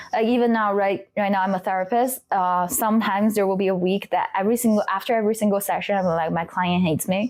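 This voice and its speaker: In a Chinese accent, a woman speaks at a very fast pace with hardly any pauses and fairly even intonation, on a very clean recording with a silent background. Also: medium pitch for a woman, very even loudness. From China. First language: Mandarin Chinese. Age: 20s. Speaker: trauma therapist. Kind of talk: interview. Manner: halting.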